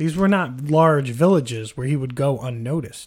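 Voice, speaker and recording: In a very clean recording with a silent background, a man speaks fairly slowly and somewhat breathily, with lively intonation. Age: 30s. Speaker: podcast host. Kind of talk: casual chat.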